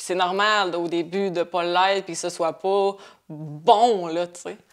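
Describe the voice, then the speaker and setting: A woman speaks at a fairly slow pace. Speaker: painter. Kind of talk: podcast interview. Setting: at her home. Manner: calm.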